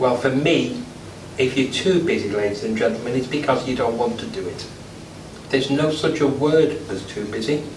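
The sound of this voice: A man talks with ordinary pitch variation, and room echo is audible around him. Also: medium pitch for a man, moderate pace.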